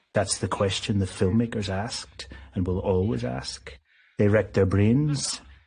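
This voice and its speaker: Here is a man with a fairly low, dark, mellow voice that is somewhat breathy. He speaks fairly slowly with lively intonation. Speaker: documentary narrator and film critic. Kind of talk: documentary narration.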